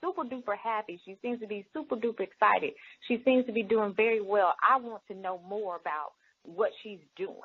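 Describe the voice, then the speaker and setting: A woman's fairly high voice, animated, with lively intonation at a moderate pace. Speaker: direct sales leader. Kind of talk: interview.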